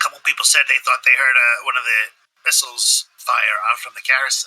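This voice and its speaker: A raspy, put-on character voice moves along at a fairly quick pace. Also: man. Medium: actual play. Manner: terse, blunt.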